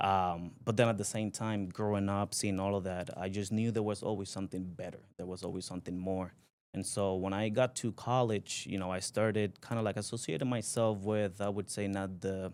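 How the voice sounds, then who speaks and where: In a Spanish accent, a man talks at a fairly quick pace with hardly any pauses. His intonation is fairly even, and the recording is very clean with a silent background. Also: fairly low pitch for a man. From Puerto Rico (Aguas Buenas). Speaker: company president, entrepreneur. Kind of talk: podcast interview. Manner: halting, many fillers.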